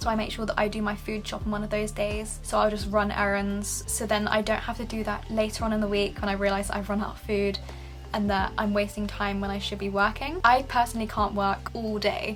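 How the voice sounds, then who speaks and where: With music playing in the background, a woman talks at a fairly quick pace in a Southern English accent. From England. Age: 20s. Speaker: music student. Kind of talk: casual talk to camera.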